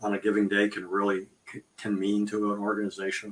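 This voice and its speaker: A man speaks with an ordinary speaking voice at a fairly low pitch. His pace is moderate. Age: 60s. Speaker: volunteer organization host. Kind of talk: interview.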